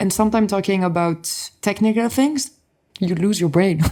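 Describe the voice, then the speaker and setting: A woman with a French accent and a dark, mellow tone at medium pitch, at a fairly quick pace with ordinary pitch variation, on a very clean recording with a silent background. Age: young. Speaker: motorsport influencer. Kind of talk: podcast interview.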